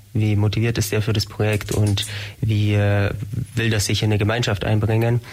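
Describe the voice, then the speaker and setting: Somewhat breathy and flat in intonation, a man speaks at a fairly low pitch. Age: 20s. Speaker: engineering student, shared-house resident. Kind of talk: radio interview. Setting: radio studio.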